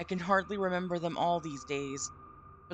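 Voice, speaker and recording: A woman with an American accent talks at a fairly low pitch with fairly even intonation in an unremarkable speaking voice. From Vermont, US. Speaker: streamer. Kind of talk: reading aloud a story with live commentary. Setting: live stream from home.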